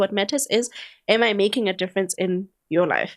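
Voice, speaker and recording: Her tone is animated as the woman talks at a fairly quick pace. The recording is very clean, the background silent. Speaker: podcast host. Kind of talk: casual chat. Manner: talkative.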